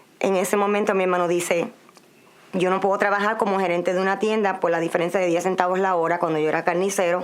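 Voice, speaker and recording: Over noticeable background noise, a woman with a Puerto Rican accent speaks very fast at a medium pitch with monotone, flat intonation. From Puerto Rico. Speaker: migrant interviewee. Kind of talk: interview testimony.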